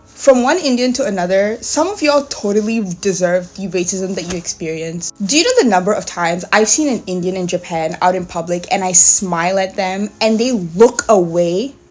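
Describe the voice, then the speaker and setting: Against noticeable background noise, a woman speaks in an animated tone at a moderate pace and medium pitch, with ordinary pitch variation and hardly any pauses. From Singapore. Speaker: content creator. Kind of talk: casual rant.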